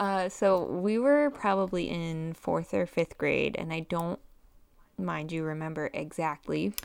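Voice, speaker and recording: A plain, everyday voice from a woman, fairly low in pitch, fairly slow, with ordinary pitch variation. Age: 30s. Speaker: podcast co-host. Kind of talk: casual chat.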